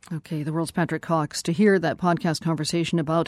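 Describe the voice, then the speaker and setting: A woman with a normal speaking voice talks fairly quickly at a fairly low pitch with ordinary pitch variation, on a very clean recording with a silent background. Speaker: radio host. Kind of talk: news broadcast hosting and interviews. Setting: studio.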